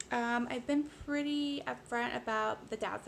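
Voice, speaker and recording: A woman speaks with an American accent. Noticeable background noise sits behind her. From United States. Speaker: vlogger. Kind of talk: personal vlog monologue. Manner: fast; casual, many fillers.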